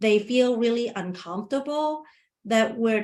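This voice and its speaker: A woman talks at a moderate pace in a fairly high pitch. The background is quiet. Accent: non-native. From Asia, immigrant to US at 19. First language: not English. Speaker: webinar presenter, community engagement worker. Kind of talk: webinar presentation with Q&A. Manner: halting, many restarts.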